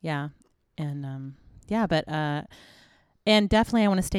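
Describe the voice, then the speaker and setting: The recording is very clean with a silent background. A woman speaks at a fairly quick pace, her fairly low pitch showing ordinary variation. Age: 40s. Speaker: missionary and podcast co-host. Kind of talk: casual chat.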